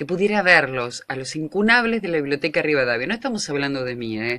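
Against a quiet background, a woman with a very deep, low pitch talks at a fairly quick pace, her pitch swinging very widely. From Argentina. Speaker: radio host. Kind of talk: radio show host talking on air. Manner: chatty, informal. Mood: earnest, pleading, animated. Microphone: earbuds.

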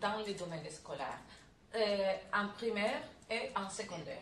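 A woman with a Spanish accent speaks at a fairly slow pace and a fairly high pitch. Light background noise and audible room echo are present. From Spain. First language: Spanish (speaking French). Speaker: professor; conference speaker. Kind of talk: lecture. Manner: halting. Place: meeting room. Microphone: camera far.

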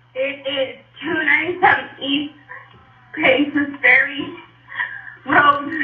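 Audible room echo is heard. The talking is very slow. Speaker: caller. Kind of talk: panicked phone call. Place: home room. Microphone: phone line.

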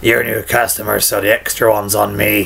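Light background noise sits behind a man at a medium pitch. He uses a put-on character voice that is raspy and gravelly. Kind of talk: video game character impression. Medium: voice reel. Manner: chummy, gossipy, generous.

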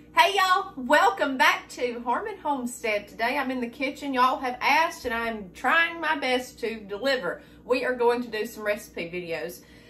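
Light background noise sits under a woman's raised, projected voice as she talks at a moderate pace with very wide pitch swings and hardly any pauses. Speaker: homestead cooking vlogger. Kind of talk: casual vlog chat. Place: kitchen. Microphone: camera far.

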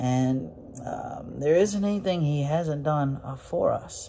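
A man talks at a fairly slow pace over light background noise. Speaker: preacher or Bible teacher. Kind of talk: sermon. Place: office. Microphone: phone near.

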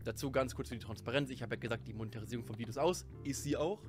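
Clear music sounds in the background. Over it, a man talks at a very fast pace. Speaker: content creator. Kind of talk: casual commentary to viewers. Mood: sarcastic, amused. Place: home room. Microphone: studio mic.

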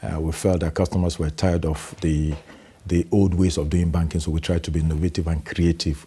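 Somewhat breathy and at a fairly quick pace, a man talks with a very deep, low pitch, a dark, mellow tone and monotone, flat intonation. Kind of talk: interview answer. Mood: confident, proud. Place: studio. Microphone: lapel.

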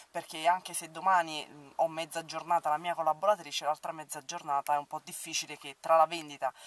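In a quiet background with dry sound and no echo, a woman speaks at a fairly quick pace in a very deep, low pitch. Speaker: makeup vlogger. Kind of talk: casual vlog chat. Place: car. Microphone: phone near.

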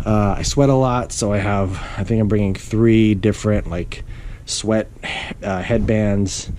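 The man's voice is fairly low, and his intonation is fairly even. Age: 40s. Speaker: video blogger, amateur cyclist. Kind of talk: tutorial. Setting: at home. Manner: casual, many fillers. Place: home room. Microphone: phone near.

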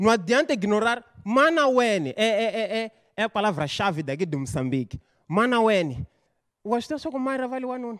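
Against a quiet background, a man with a high pitch speaks in an animated tone at a moderate pace, with very wide pitch swings. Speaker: stand-up comedian. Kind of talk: stand-up comedy. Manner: animated, stuttering and exaggerated storytelling. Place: studio. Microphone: handheld.

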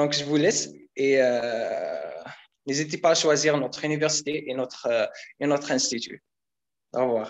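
With long, frequent pauses, a man talks at a fairly high pitch and fairly even intonation against a quiet background. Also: fairly slow pace. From Algeria. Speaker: international student; student guide. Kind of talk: casual presentation. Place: hall. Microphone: video call.

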